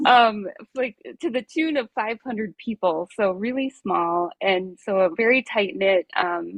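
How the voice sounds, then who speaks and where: With lively intonation and a slight Minnesota accent, a woman speaks at a medium pitch and a fairly slow pace. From rural Minnesota, US. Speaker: nurse coach. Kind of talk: interview.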